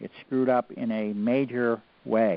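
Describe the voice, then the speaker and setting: A man's voice sits at a medium pitch and varies in an ordinary way. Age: 60s. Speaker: researcher. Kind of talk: lecture. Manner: animated.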